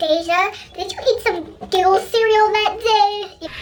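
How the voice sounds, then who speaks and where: Using a put-on character voice, a woman speaks at a fairly slow pace in an extremely high, squeaky pitch. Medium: solo performance. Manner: warm, teasing.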